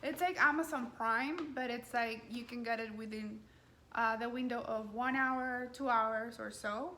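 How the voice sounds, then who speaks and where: Over noticeable background noise and audible room echo, the speaker talks at a fairly slow pace with fairly even intonation. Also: woman. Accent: strong non-native. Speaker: lifestyle coordinator. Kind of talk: cooking tutorial. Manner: hesitant, many fillers.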